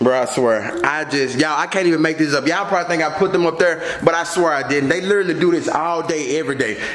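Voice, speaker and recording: A man talks at a very fast pace. The room echo is audible, with light background noise. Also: ordinary pitch variation. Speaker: parent vlogger. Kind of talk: casual vlog chat. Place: home room. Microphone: phone near.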